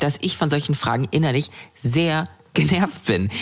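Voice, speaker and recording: Her pitch very deep and low, a woman speaks at a fairly slow pace with lively intonation. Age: 20s. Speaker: model and activist. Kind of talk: testimony.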